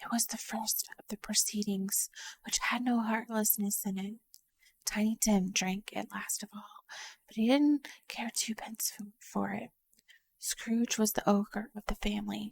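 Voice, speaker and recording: A somewhat breathy woman with a fairly high pitch speaks at a fairly slow pace with long, frequent pauses, fairly even intonation and big swings in loudness, in a dry, close sound with no echo. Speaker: vtuber ASMR streamer / storyteller. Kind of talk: soft-spoken ASMR audiobook reading, whispered storytelling. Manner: soft, even storytelling narration.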